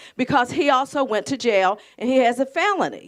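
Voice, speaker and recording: Speaking with an Appalachian accent, a woman keeps a moderate pace and lively intonation. The recording is very clean with a silent background. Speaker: audience member. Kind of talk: testimony. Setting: community event with audience. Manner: loud; halting.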